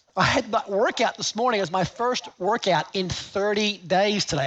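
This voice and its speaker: An animated man with an Australian accent and a high-pitched voice, over noticeable background noise. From Australia, Gold Coast. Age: 50s. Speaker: seminar speaker. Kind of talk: live seminar talk. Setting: stage with audience.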